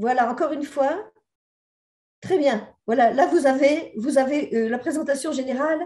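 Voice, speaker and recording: A woman with a dark, mellow tone speaks at a moderate pace with lively intonation. Room echo is audible. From southern France. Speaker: sociologist and researcher. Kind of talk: conference presentation. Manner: hesitant, many fillers.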